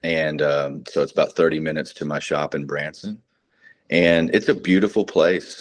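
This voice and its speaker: A man is speaking. He has a slight Texan accent. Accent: Texas accent, slight. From North Texas. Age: 40s. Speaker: combat veteran and precious metals dealer. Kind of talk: interview. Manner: halting, many fillers.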